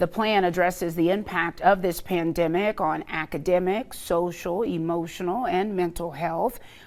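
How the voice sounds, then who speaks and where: With an ordinary speaking voice, a woman talks at a moderate pace and a fairly low pitch, keeping fairly even intonation and hardly any pauses. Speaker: local TV news anchor. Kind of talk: TV news anchor delivery.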